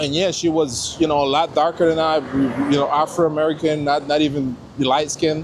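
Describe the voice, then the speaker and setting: Over noticeable background noise, the speaker talks at a fairly quick pace in a monotone, flat intonation with a Caribbean accent. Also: man, fairly high pitch for a man. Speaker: local interviewee. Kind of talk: casual interview. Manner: halting, many repetitions.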